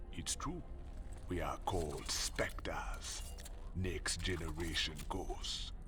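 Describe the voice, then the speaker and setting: Loud background noise sits under a man's cartoonish character voice. He speaks at a very slow pace. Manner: calm, laconic, slightly menacing.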